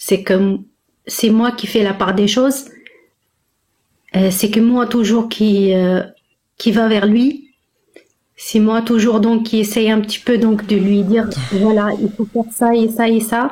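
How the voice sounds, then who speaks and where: The voice is dark, mellow and somewhat breathy, with a flat monotone and very even loudness. The pace is very slow, broken by long, frequent pauses. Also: woman, fairly high pitch for a woman. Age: 40s. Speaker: caller seeking relationship advice. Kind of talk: personal testimony in live call. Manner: halting, many hesitations.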